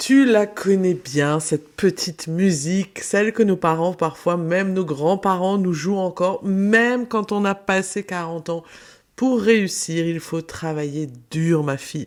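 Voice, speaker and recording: Very slowly, a woman speaks at a fairly low pitch with ordinary pitch variation. The recording is very clean, with a silent background. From France, Alsace. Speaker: business mentor, podcaster. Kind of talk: podcast monologue.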